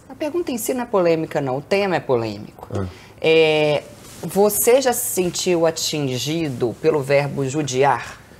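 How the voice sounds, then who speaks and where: Very deep and low in pitch, a woman speaks at a fairly slow pace with very wide pitch swings. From Brazil, Belo Horizonte (Minas Gerais); Minas Gerais, Brazil. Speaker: podcast host, Portuguese teacher. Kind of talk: casual interview. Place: home room. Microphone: lapel.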